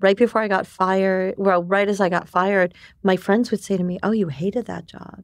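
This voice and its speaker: A woman with an American accent and a plain, everyday voice speaks quickly at a medium pitch, her intonation fairly even but her loudness swinging widely. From New York. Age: 50s. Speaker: entrepreneurship community director. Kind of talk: interview conversation.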